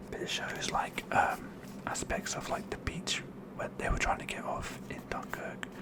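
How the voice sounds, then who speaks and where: Noticeable background noise accompanies a whisper delivered at a moderate pace. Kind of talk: ASMR whispered show and tell. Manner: whispered, soft-spoken.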